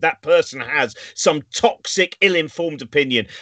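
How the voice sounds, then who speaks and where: A man with an English accent speaks in a high pitch. His tone is animated, and the background is quiet. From England. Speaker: show host. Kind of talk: casual chat. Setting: video call. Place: home room.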